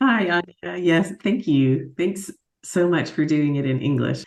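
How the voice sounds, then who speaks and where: A woman speaks with an American accent at a moderate pace. Her tone is dark and mellow. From Alaska, US. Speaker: agile coach and facilitator. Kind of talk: interview. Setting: video call.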